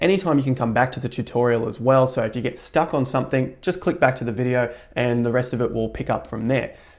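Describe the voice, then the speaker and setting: Delivered with an Australian accent at a very fast pace with hardly any pauses, the speech shows ordinary pitch variation against a quiet background. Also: man. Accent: Australian, twangy. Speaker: crypto YouTuber; tutorial host. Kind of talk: tutorial. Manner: jokey, upbeat. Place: home room.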